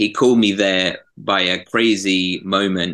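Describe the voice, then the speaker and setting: A man's bright, sharp tone at a fairly low pitch, monotone and flat, against a quiet background. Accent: southern English. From southern England. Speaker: graphic designer and prayer ministry leader. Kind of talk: interview.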